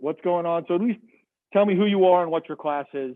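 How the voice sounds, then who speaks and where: A loud, fast-paced man with an American accent and a high pitch. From Massachusetts. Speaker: biology professor. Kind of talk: lecture.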